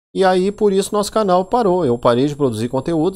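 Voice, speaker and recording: Over a quiet background, a man speaks in a dark, mellow tone. His intonation is lively. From Brazil, Rio Grande do Sul (Porto Alegre). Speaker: YouTuber, Linux tech channel host; tech channel host. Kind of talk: casual vlog monologue. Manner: animated.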